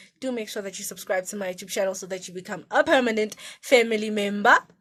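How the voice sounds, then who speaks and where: A woman's medium-pitched voice with a bright, sharp tone. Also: very clean recording, silent background. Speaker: vlogger; university student. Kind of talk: casual vlog. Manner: loud; animated.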